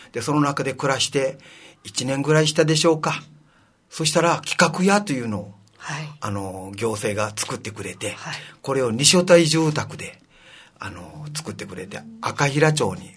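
Pitched fairly high, a man speaks at a moderate pace with lively intonation. There is vocal fry in his voice. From Okinawa, Shuri (Naha). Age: 70s. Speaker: city council member. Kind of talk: interview.

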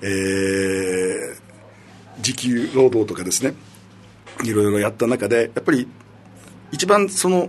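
Amid noticeable background noise, a man with a medium pitch uses lively intonation at a fairly slow pace, leaving long, frequent pauses. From Okinawa. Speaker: city council member. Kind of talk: casual interview.

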